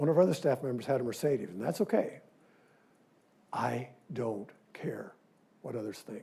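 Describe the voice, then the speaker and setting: A somewhat breathy voice carries a dark, mellow tone. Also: man. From Missouri, Independence. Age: 70s. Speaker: dentist giving a guest lecture. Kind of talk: lecture. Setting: lecture hall with audience. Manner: animated.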